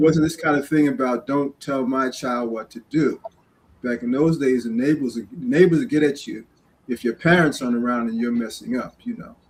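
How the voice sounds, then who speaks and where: This man, who has a New York accent, speaks at a fairly high pitch with ordinary pitch variation. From New York City, Queens. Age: 60s. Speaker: community guest speaker. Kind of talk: interview storytelling.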